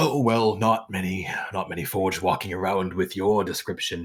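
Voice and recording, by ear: Doing a put-on character voice, a man sounds shaky and croaky at a very deep, low pitch, with fairly even intonation and a moderate pace.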